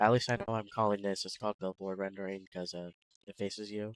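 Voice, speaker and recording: Soft-spoken and fairly low in pitch, a man talks at a fairly quick pace. His recording is dry and close, free of echo. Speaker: game developer streamer. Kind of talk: casual live coding stream. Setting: live stream. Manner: soft-spoken, quiet; casual, halting with fillers.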